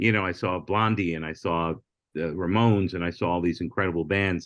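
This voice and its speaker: A man speaks at a fairly quick pace with a very deep, low pitch. His intonation is fairly even, and the background is quiet. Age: 60s. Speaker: comedian and former late-night talent booker. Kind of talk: casual podcast interview.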